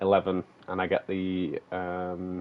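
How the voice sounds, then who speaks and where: The speaker has a strong Manchester accent and a monotone, flat intonation. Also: man. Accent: broad Manchester. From northern England, Manchester. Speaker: gaming streamer. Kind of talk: live stream gameplay chat. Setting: live stream. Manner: talkative.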